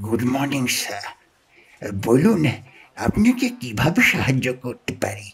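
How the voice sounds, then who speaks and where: A man puts on a character voice with a drawl. He keeps to a medium pitch at a fairly slow pace. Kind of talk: audio story narration. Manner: drawling, slow.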